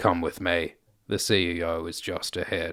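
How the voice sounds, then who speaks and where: In a put-on character voice, a man speaks very deep and low, raspy and monotone with flat intonation, at a moderate pace. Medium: read story. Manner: curt, authoritative.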